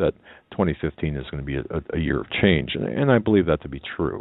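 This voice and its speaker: The man's voice sits at a very deep, low pitch. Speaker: radio host. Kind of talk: talk radio discussion. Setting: studio. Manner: halting, stammering.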